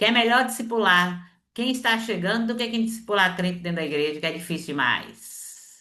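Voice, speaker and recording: Barely pausing, a woman at medium pitch talks with lively intonation and a bright, sharp tone. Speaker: seminary teacher. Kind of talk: online lecture. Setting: video call. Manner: fast.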